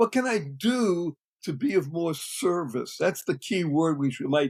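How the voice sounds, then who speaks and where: A man with an American accent talks at a moderate pace, his pitch high and his intonation lively. The sound is dry and close, with no echo. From US Northeast (Boston, Massachusetts). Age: 70s. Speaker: serial entrepreneur. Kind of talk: podcast interview. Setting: podcast recording. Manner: high energy.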